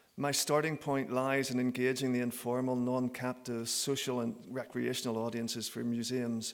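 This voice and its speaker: A man talks with a Northern Irish accent. His intonation is monotone and flat. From Northern Ireland. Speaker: professor. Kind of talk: conference talk.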